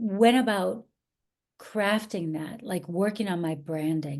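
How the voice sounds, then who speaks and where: At a fairly slow pace, a woman with an American accent uses a plain, everyday voice and lively intonation. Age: 50s. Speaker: actress and acting coach. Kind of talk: interview conversation.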